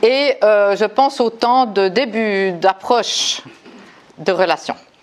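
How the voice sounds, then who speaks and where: Very slowly and at very even loudness, a woman speaks. Her fairly high voice shows ordinary pitch variation. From Switzerland, Neuchâtel. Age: 60s. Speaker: recovery group member. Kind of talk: testimony. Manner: halting.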